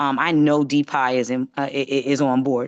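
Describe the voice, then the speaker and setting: A woman speaks at a fairly quick pace in an American accent with very deep, low pitch. The sound is dry and close with no echo, and the background is quiet. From New York. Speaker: county government official. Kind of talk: virtual community meeting remarks. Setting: video call. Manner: fast.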